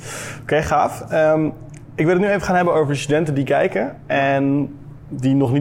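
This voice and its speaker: Noticeable background noise behind a man's fairly high-pitched voice with ordinary pitch variation. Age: 20s. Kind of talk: interview. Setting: at a table with guest.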